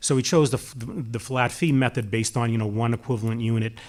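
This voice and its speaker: Very clean recording, silent background. A man with a Boston accent speaks at medium pitch with fairly even intonation. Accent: Watertown (Boston-area). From Massachusetts, Watertown. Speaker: municipal public works official, panelist. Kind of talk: panel discussion. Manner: halting, many fillers and restarts.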